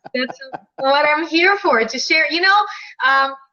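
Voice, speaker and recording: A woman in a Russian accent speaks at a moderate pace with ordinary pitch variation. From Ukraine (Crimea). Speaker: dating and relationship coach, author. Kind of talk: live video chat interview. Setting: live video stream. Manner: animated.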